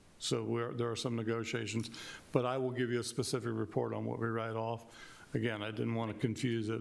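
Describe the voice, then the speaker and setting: Speaking at a fairly quick pace, a man with a medium pitch keeps a flat, monotone intonation while audible room echo surrounds him. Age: 60s. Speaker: county emergency services official. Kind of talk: public meeting testimony.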